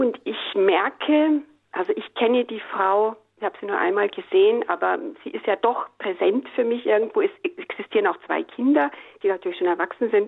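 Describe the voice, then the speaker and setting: This woman's pitch swings very widely and sits fairly high. She talks at a moderate pace. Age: 60s. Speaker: radio caller. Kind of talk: call-in question. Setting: phone call.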